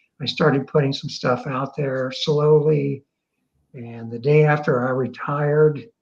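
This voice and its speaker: Somewhat breathy and fairly high, a man's voice moves fairly slowly in a monotone, flat intonation while his loudness swings widely. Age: 70s. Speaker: retired business school dean, blogger. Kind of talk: interview on live online show. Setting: live online video show.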